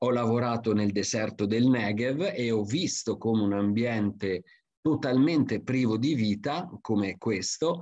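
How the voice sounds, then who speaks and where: Over a quiet background, a man with a medium pitch speaks at a fairly slow pace, his loudness very even and his pitch variation ordinary. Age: 50s. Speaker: forestry expert and lecturer; presenter. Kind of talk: conference talk; webinar lecture. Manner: hesitant with frequent fillers. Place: home room. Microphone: webcam.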